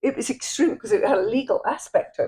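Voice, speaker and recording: With an English accent, a woman talks at a fairly quick pace, and the sound is dry and close with no echo. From England. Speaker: artist. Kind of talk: casual chat.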